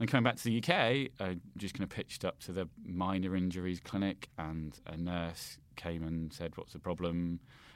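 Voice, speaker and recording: Speaking at a moderate pace with hardly any pauses, a man with a British accent uses a very deep, low pitch with ordinary pitch variation. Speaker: political commentator. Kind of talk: casual chat. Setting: remote call. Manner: halting, many fillers and repetitions.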